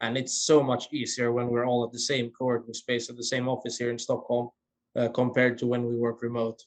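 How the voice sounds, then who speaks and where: Fairly quick and monotone, a man speaks at a medium pitch with flat intonation. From Finland, Swedish-speaking Finn. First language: Swedish. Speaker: former intern, startup founder. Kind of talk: casual chat.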